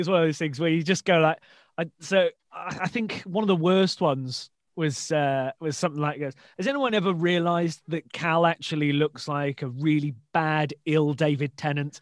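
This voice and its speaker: Moderate pace from a man with a fairly high pitch and ordinary pitch variation, dry and close with no echo. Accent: West Midlands. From English Midlands, Shrewsbury. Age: 20s. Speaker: podcast host, stand-up comedian. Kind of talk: casual interview chat.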